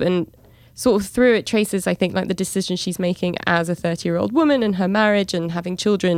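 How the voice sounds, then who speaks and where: A woman with a London accent talks at a fairly quick pace with fairly even intonation. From London, England. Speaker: podcast co-host, travel journalist. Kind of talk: casual chat.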